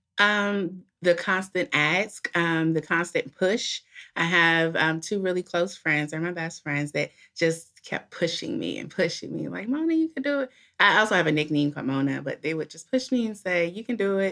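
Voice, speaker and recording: A woman with an American accent uses a normal speaking voice with fairly low pitch and lively intonation. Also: moderate pace. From Washington DC. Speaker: caterer and small business owner. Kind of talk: interview.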